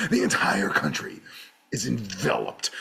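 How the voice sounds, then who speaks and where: A man's raspy, put-on character voice at medium pitch. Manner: dramatic, grave.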